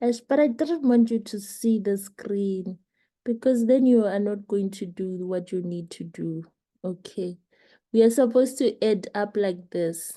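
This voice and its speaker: A woman's dark, mellow voice with a non-native accent at a fairly slow pace, over a quiet background. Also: medium pitch for a woman, ordinary pitch variation. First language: not English. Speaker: leadership coach. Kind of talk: online class instruction.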